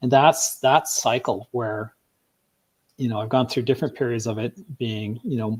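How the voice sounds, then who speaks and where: This man's voice sits at a medium pitch and sounds somewhat breathy. The sound is dry and close, with no echo. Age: 60s. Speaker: guest interviewee on health podcast. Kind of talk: interview conversation. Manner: hesitant with many fillers.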